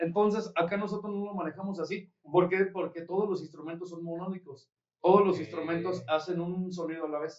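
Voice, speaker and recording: A man talks at a fairly quick pace with a high pitch and fairly even intonation. His loudness swings widely. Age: 30s. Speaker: brass band leader and musician. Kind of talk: casual chat.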